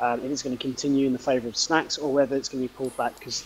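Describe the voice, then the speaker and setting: A man with a British accent, a fairly high pitch and a very fast pace. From Britain. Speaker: esports commentator. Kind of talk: live commentary.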